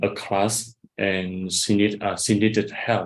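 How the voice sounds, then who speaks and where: A man talks with a Vietnamese accent and fairly low pitch. His intonation is monotone and flat. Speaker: English teacher and bank employee. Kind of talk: casual chat. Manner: halting.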